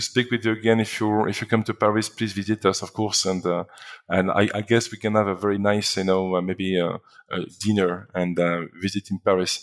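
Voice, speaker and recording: Speaking fairly quickly with a French accent, a man uses a fairly low pitch and ordinary pitch variation on a very clean recording with a silent background. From northern France. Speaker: company founder. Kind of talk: interview. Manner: halting, many repetitions and fillers.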